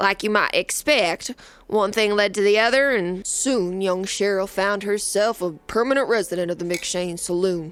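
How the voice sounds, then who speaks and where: A woman puts on a drawling character voice at medium pitch, moving at a moderate pace with hardly any pauses and ordinary pitch variation on a very clean recording with a silent background. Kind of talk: western first-person narration. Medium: audio drama. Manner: drawling, folksy frontier idiom.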